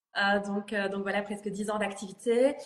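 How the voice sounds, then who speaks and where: Speaking with a slight Belgian accent, a woman keeps a flat monotone at medium pitch and a moderate pace. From Belgium, Liège. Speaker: image consultant, trainer. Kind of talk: interview. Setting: live video stream. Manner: hesitant, many fillers.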